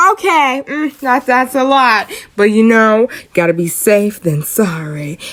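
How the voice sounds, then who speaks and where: A woman's playful tone with very wide pitch swings amid noticeable background noise. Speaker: friend doing comedic voiceover. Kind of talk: humorous voiceover commentary on hair tutorial. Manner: playful, sassy, casual.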